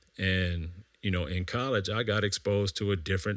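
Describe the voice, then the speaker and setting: A man with an American accent has a plain, everyday voice, a fairly low pitch, fairly even intonation and a moderate pace, recorded very cleanly against a silent background. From Vallejo, California. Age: 40s. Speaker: podcast host, financial planning. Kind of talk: casual monologue.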